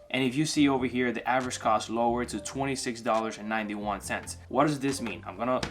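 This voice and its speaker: Music plays behind a man speaking at medium pitch with ordinary pitch variation. He talks very fast, with hardly any pauses. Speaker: investing youtuber. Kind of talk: tutorial. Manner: casual.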